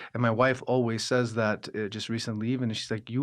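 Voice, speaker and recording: The speaker has a Los Angeles accent, and the background is quiet. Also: man. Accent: American English, Los Angeles. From Los Angeles, Armenian-American household. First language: Armenian. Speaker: opera singer, actor and director. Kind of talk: interview conversation. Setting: podcast. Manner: halting, many false starts and fillers.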